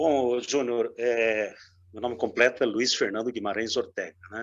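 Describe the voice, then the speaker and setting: A man's medium-pitched voice at a fairly slow pace. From Brazil, Marília (São Paulo state). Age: 60s. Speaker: writer and journalist. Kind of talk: interview.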